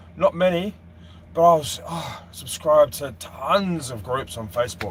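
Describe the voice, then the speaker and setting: The speaker is a man with an Australian accent. His intonation is lively and his pace moderate. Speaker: boating vlogger. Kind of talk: live stream Q&A chat. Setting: live stream.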